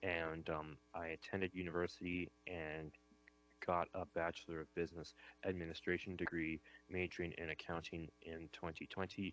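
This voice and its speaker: A man's very deep, low voice at a moderate pace, monotone and flat in intonation. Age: 20s. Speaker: staff accountant. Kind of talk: panel discussion. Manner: halting, many fillers.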